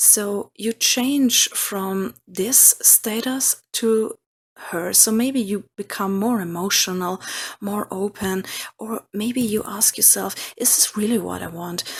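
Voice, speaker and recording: In a non-native accent, the speaker talks very slowly. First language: not English. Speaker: tarot reader. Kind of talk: tarot reading. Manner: halting.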